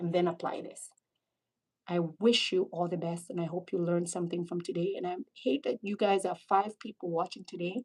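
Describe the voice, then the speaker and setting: A woman talks at a fairly quick pace in a somewhat breathy voice. Her tone is animated, at a medium pitch. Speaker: pulmonary critical care doctor. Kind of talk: live-stream medical teaching. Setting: live stream. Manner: fast.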